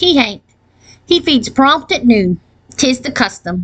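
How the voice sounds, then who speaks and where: A woman's put-on character voice, high-pitched, with very wide pitch swings at a fairly slow pace. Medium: read story. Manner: deadpan, matter-of-fact.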